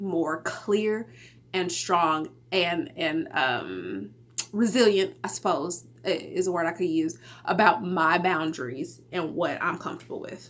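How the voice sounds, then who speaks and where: Someone talks at a moderate pace in a Texas accent with ordinary pitch variation amid noticeable background noise. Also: woman. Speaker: podcast host. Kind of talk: casual solo podcast talk. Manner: casual, conversational with fillers.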